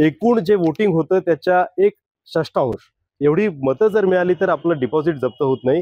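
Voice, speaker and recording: The intonation is lively. Loudness stays very even throughout. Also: man, high pitch for a man. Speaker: news editor and interviewer. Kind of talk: interview questions.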